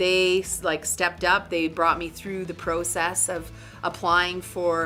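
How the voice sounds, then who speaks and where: Music plays in the background as a woman speaks at a very slow pace. Her intonation is monotone and flat. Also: fairly low pitch for a woman. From Northern Canada. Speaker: artist and business owner. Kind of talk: interview answer.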